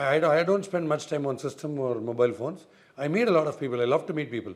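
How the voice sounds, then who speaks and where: Lively intonation marks a man's fairly high voice as he talks at a very fast pace. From India, Chennai. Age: 60s. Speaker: former cricketer and cricket analyst. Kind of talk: interview.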